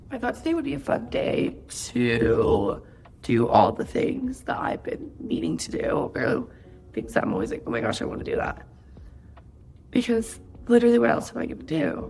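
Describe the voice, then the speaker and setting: A woman's voice at a moderate pace over background music. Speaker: lifestyle vlogger. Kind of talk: casual vlog talk to camera.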